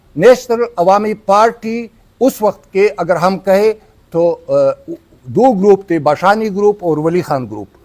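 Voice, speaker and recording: This man's voice sits high in pitch for a man. His pitch varies in an ordinary way. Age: 60s. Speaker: party politician. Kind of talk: press conference statement. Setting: press club conference. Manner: halting, with self-corrections.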